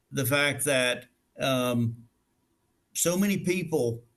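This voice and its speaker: A man speaks in a Southern US accent at a fairly high pitch. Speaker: restaurant facilities director. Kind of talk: interview conversation.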